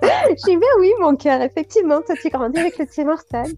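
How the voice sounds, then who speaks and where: Against noticeable background noise, a woman speaks at a fairly quick pace with very wide pitch swings. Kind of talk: casual interview. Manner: animated.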